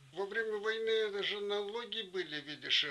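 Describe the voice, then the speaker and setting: Fairly slow speech from a man, noticeable background noise included. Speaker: wartime home-front witness. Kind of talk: interview answer.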